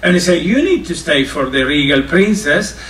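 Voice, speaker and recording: Against noticeable background noise and audible room echo, a man speaks with a high pitch. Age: 60s. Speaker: cruise line culinary ambassador. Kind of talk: informal talk to students. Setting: on board a cruise ship. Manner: halting.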